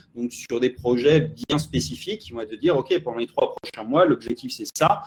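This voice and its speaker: This man's voice sits at a medium pitch and is somewhat breathy. He talks at a moderate pace. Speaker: marketing consultant. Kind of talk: interview.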